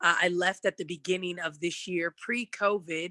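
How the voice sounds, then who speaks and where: At a moderate pace, a woman speaks with a bright, sharp tone at a medium pitch, the sound dry and close with no echo. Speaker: TV news anchor. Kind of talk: career panel talk. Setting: video call from home living room.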